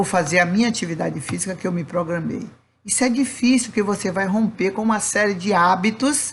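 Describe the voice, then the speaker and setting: Somewhat breathy and medium in pitch, a woman talks at a moderate pace with ordinary pitch variation and audible room echo. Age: old. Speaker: spiritist lecturer. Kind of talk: lecture. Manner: not soft or sweet, firm.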